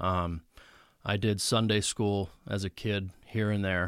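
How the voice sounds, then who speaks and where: On a very clean recording with a silent background, a man with an American accent uses an unremarkable speaking voice, fairly low in pitch with fairly even intonation. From central Pennsylvania. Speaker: truck driver and former metal guitarist. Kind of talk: testimony. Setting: studio.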